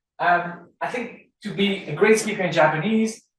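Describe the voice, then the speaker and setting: A man speaks in a high voice at a fairly slow pace. Room echo can be heard. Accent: Dutch. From Belgium, Dutch-speaking Flanders. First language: Dutch. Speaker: law professor. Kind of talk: lecture. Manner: halting, with repeated words.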